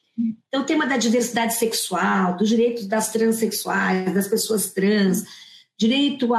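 A woman talks at a moderate pace in a fairly high pitch. Her voice is somewhat breathy, with ordinary pitch variation. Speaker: human rights law professor. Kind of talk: panel discussion.

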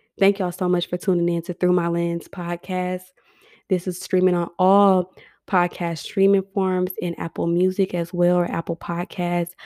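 A woman talks at a moderate pace with a fairly low pitch and a dark, mellow tone, her intonation monotone and flat. The recording is very clean with a silent background and a dry, close sound with no echo. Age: 20s. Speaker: podcast host and salon owner. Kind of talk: motivational solo podcast monologue.

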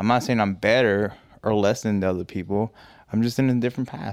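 A man with an unremarkable speaking voice talks in a fairly low pitch with fairly even intonation, recorded dry and close with no echo. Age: 20s. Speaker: podcast host. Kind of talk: casual chat.

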